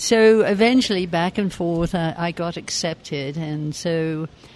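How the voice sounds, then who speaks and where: Speaking at a fairly slow pace with a London accent, this voice comes through over noticeable background noise. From England, southeast London. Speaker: community activist. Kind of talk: interview. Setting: cafe.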